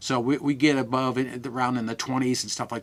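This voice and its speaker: A man talks at a very fast pace in a medium pitch with fairly even intonation. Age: 70s. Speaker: supplement company representative. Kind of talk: interview. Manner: halting.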